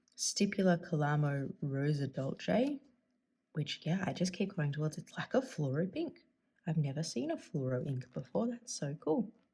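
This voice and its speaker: Her very deep, low pitch and dark, mellow tone come through a somewhat breathy voice as this woman talks at a fairly slow pace. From Australia. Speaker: fountain pen YouTuber. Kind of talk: casual tutorial-style vlog. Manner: upward inflection at sentence ends.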